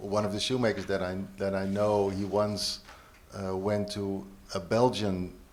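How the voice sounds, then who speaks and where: A man's fairly low-pitched, fairly slow speech amid audible room echo. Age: 50s. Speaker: shoemaker and teacher. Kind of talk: panel interview. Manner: halting.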